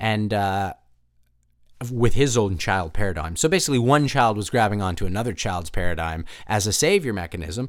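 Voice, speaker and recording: Lively intonation marks this man's fairly quick speech. The recording is very clean, with a silent background. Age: 40s. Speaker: podcast host and actor. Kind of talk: casual monologue. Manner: halting, many fillers.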